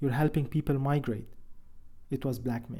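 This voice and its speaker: A somewhat breathy man with an Arabic accent, fairly high in pitch, with a dark, mellow tone. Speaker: father of disappeared son. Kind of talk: testimony.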